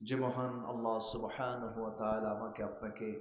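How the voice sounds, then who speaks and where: A man with a mid-range pitch talks in a space where room echo is audible. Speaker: Islamic preacher. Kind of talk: sermon. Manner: loud, calling out to audience.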